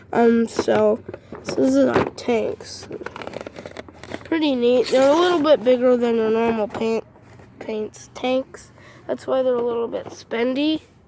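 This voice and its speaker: A woman's high-pitched voice with an American accent, fairly slow and marked by long, frequent pauses, ordinary pitch variation, and noticeable background noise. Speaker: vlogger showing fireworks haul. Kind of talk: casual show-and-tell video. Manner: halting, many fillers.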